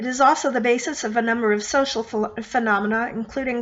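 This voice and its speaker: Fairly quick female speech with ordinary pitch variation amid noticeable background noise. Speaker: former university debate team member. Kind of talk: commentary explaining logical fallacies.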